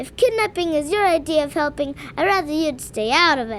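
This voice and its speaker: Over clear background noise, a woman uses a put-on character voice, high-pitched and at a fairly quick pace. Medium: audio drama. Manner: sarcastic, blunt.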